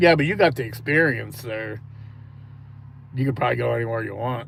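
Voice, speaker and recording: With audible room echo, a man at a medium pitch talks at a fairly quick pace with ordinary pitch variation and some vocal fry. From eastern Ohio near Pittsburgh. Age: 50s. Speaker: live streamer, reaction channel host. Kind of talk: casual chat. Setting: live stream.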